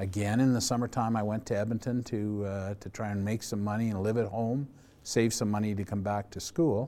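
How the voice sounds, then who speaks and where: A man's dark, mellow, fairly low voice with a Canadian accent and fairly even intonation. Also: fairly quick pace. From Calgary, Alberta, Canada. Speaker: retired lacrosse player and organizer. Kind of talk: oral history interview.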